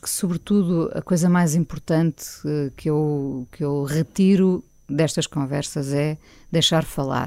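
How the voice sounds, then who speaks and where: On a very clean recording with a silent background, a woman speaks at a fairly slow pace. Her pitch is very deep and low, with a dark, mellow tone. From Portugal, Lisbon. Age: 50s. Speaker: radio host. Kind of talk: interview conversation. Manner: hesitant, many fillers.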